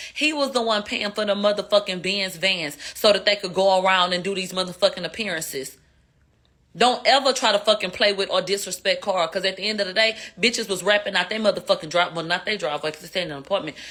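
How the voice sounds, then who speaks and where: A woman with a Houston accent speaks at a very fast pace in a bright, sharp, animated tone at a medium pitch. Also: ordinary pitch variation. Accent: Houston twang. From Houston, Texas. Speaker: live streamer commentator. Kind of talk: casual livestream commentary. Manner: slurred speech.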